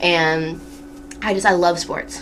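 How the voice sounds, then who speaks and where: Someone speaks with an American accent, and there is audible room echo. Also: woman. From Massachusetts, New England. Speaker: student radio host. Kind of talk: casual radio talk show monologue. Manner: chatty, filler-heavy.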